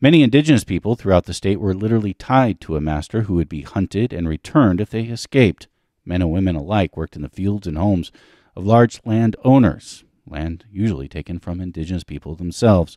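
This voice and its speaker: Over a quiet background, a man with a very deep, low pitch and a dark, mellow tone talks at a very fast pace with lively intonation, the sound dry with no echo. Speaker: podcast host. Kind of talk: scripted show introduction. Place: home room. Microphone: studio mic.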